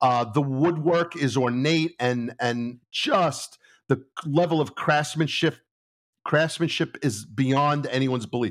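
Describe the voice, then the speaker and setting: A fairly high-pitched man with a New York accent, very slow pace, very even loudness and ordinary pitch variation. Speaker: retired police lieutenant. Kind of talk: casual interview storytelling. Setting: video call.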